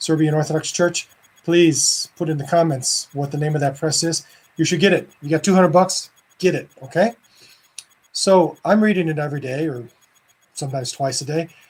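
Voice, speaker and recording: A man with a fairly high pitch for a man speaks with long, frequent pauses. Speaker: Orthodox priest. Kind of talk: casual video talk. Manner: fast; animated.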